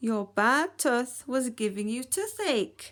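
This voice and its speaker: A woman's put-on character voice, high in pitch. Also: fairly slow pace. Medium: read story.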